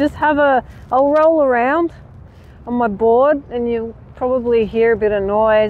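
A woman speaks at a fairly slow pace and a fairly high pitch. Her intonation stays fairly even.

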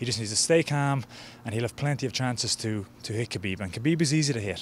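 Against light background noise, a man speaks at a very fast pace with ordinary pitch variation in a dry space with no echo. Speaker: interviewee. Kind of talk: interview answer. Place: garden. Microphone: handheld.

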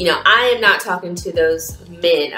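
A woman speaks at a moderate pace. Faint music plays in the background, and the room echo is audible. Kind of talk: casual vlog chat. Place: home room. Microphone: phone near.

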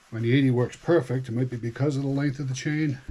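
Light background noise behind a man. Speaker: hobbyist demonstrating chainsaw maintenance. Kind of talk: tutorial. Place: garage. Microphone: camera far.

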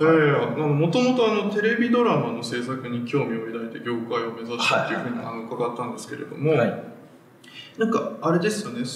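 The voice makes very wide pitch swings and big swings in loudness. Light background noise and audible room echo are present. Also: man, fairly quick pace. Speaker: film writer, show host. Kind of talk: interview questions on a film talk show. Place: empty room.

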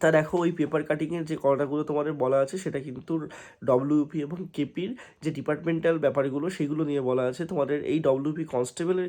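A man's dark, mellow voice with fairly even intonation. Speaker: exam coaching YouTuber. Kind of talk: informational update video.

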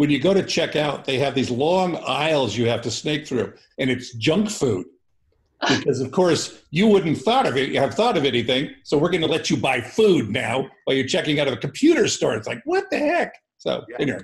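At a moderate pace, a man talks in a fairly high, somewhat breathy voice with lively intonation. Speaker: co-host of financial literacy class. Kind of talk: casual chat.

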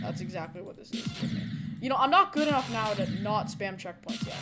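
Fairly quick speech with music in the background. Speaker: streamer playing a game. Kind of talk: live gameplay commentary. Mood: focused, mildly frustrated.

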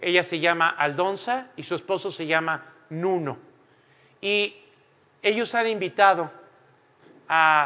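Very slow and marked by long, frequent pauses, a man talks with a high pitch and a bright, sharp tone. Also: ordinary pitch variation. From Mexico. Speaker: preacher. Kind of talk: sermon. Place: church.

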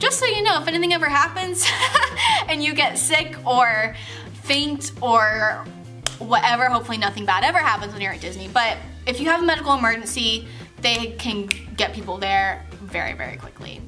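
A woman talking at a fairly quick pace, with clear music behind her. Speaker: vlogger telling a work story. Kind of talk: casual vlog chat. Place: home room. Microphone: camera far.

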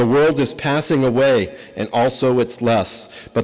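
Reading in an unforced voice

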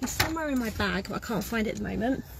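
A woman speaks in a high pitch, the sound dry with no echo and noticeable background noise behind her. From UK. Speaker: NHS worker recording a personal video. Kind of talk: angry rant, sarcastic and defiant, recorded as a personal vlog. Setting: in a car. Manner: sarcastic; blunt, casual, swearing. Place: car. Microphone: phone near.

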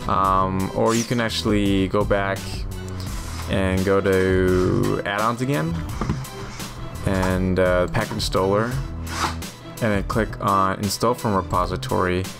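Over clear background music, a man with a very deep, low voice speaks at a very slow pace, leaving long, frequent pauses. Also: ordinary pitch variation. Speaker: tutorial narrator. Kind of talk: tutorial.

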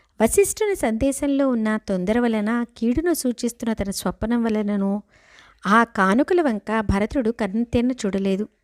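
In a dry, close sound with no echo, a woman speaks with lively intonation at a fairly high pitch. She has a normal speaking voice. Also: very clean recording, silent background. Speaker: devotional storyteller. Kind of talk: scripture storytelling. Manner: paused phrasing.

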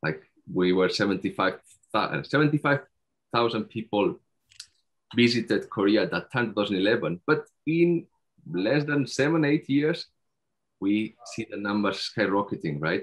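Against a quiet background, a man with a Spanish accent talks very slowly, leaving long, frequent pauses as his pitch swings very widely. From Spain, Barcelona; Catalonia, Spain. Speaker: PhD researcher; conference presenter. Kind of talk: conference presentation. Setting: video call. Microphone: video call.

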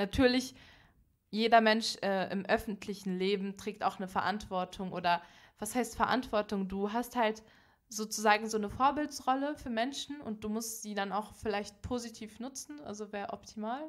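A woman speaks at a moderate pace in a fairly high voice, her pitch varying in an ordinary way while her loudness swings widely. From Berlin, Germany. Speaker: podcast guest, young activist. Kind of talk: casual interview conversation. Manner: animated, extroverted.

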